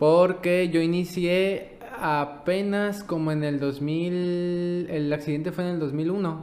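This man's pitch is high and his intonation monotone and flat. He speaks at a very slow pace with hardly any pauses. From Mexico, Baja California Sur. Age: 20s. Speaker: paralympic swimmer. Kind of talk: casual interview.

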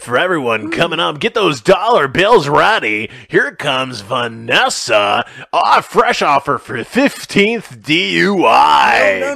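Using a put-on character voice, a man speaks very slowly at a fairly high pitch. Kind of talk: hyped announcer patter. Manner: hyped, mocking.

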